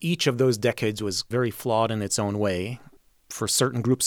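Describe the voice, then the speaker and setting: With an American accent, a man speaks in a plain, everyday voice at a medium pitch, a moderate pace and fairly even intonation. The recording is very clean, with a silent background and a dry, close sound with no echo. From Mexico and US, Polish-born. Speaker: orchestra conductor. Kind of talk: interview.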